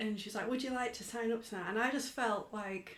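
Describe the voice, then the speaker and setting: A woman with an English accent speaks with fairly even intonation, and the room echo is audible. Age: 30s. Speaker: mother, podcast guest. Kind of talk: interview. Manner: hesitant, many fillers.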